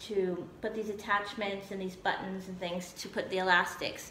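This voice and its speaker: At a moderate pace, a woman speaks amid audible room echo and light background noise. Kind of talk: casual vlog chat. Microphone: phone near.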